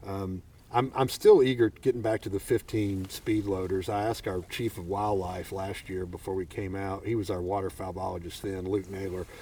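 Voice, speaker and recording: A man speaks with a Southern US accent at a moderate pace, his pitch fairly low and his tone dark and mellow. His intonation stays fairly even, and his voice is somewhat breathy. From Arkansas. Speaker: podcast host. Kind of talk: casual chat. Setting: outdoors.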